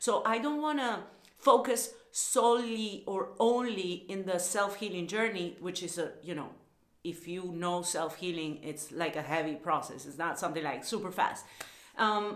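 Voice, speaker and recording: With a Spanish accent, a woman speaks at medium pitch and a moderate pace, her intonation lively and the room echo audible. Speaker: lifestyle vlogger and somatic coach. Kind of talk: casual vlog monologue. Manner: hesitant, with fillers and repetitions.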